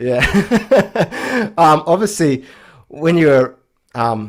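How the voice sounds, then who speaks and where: A man with an Australian accent. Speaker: podcast host. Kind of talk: podcast interview.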